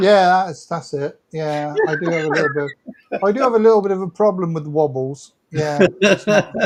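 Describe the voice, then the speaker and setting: With ordinary pitch variation, a man speaks in a high pitch at a moderate pace. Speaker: motorcycle vlogger. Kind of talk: casual chat. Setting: livestream.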